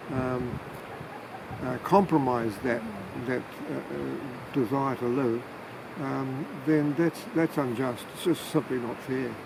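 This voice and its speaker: Amid noticeable background noise, someone in a New Zealand accent talks very slowly with long, frequent pauses and fairly even intonation. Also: man, medium pitch for a man. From New Zealand, Manawatu. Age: 70s. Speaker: retired family therapist, climate activist. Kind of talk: interview. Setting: outdoors by a river. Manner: halting, many fillers.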